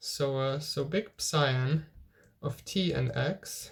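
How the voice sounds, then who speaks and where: A somewhat breathy male voice. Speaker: physics tutor. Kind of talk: lecture. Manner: halting.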